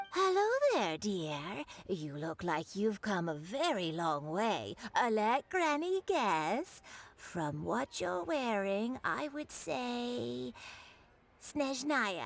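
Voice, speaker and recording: At a very slow pace, a woman uses a put-on character voice with a medium pitch and very wide pitch swings. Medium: video game. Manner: warm, grandmotherly.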